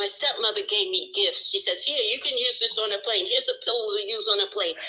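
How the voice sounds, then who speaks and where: The speech moves at a very fast pace. Music plays underneath it. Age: 60s. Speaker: course participant sharing experience. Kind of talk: testimony.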